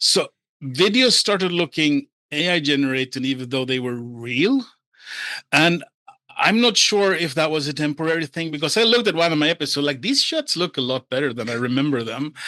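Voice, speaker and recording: A man's fairly high, bright, sharp voice with a Scandinavian accent, animated in tone with lively intonation at a fairly quick pace, dry and close with no echo. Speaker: render expert and AI experimenter. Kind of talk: casual interview chat.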